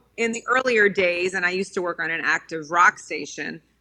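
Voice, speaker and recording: The tone is bright and sharp, delivered at a fairly quick pace with ordinary pitch variation. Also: woman. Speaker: radio host. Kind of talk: interview.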